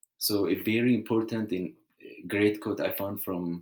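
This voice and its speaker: A man speaks with a strong non-native accent at a fairly low pitch. The recording is very clean, with a silent background. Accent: heavy foreign. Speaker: student. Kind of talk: class presentation. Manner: halting.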